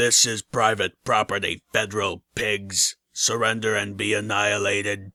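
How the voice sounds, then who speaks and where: A man's raspy, robotic put-on character voice, with hardly any pauses. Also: fairly low pitch for a man, moderate pace. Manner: threatening, defiant.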